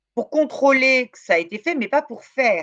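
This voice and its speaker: At a moderate pace, a woman with a fairly high pitch speaks in a dry, close sound with no echo. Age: 60s. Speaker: law professor and researcher. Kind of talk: interview. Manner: hesitant, many fillers.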